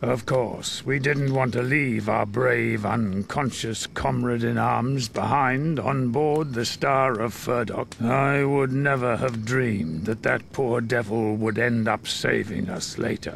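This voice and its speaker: A man's put-on character voice at a medium pitch and fairly slow pace, with hardly any pauses and clear background noise. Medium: video game. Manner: gruff.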